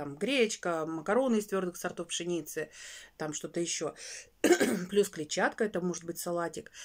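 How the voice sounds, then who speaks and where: A woman with a fairly low voice talks at a moderate pace in an animated tone. She leaves long, frequent pauses against a quiet background. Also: ordinary pitch variation. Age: 40s. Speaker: weight-loss vlogger. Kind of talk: casual vlog monologue. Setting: home bedroom. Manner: chatty, animated. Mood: earnest, slightly exasperated. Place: home room. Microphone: phone near.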